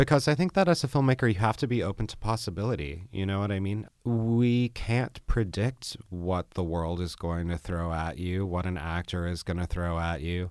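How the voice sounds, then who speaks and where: A man's very deep, low voice with lively intonation at a fairly quick pace, on a very clean recording with a silent background. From New Orleans and Arkansas. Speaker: filmmaker. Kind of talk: interview.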